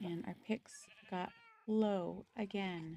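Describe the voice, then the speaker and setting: Soft-spoken, a woman holds a medium pitch with fairly even intonation. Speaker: gaming streamer. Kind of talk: live game stream chat. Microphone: too quiet, moved closer to mouth.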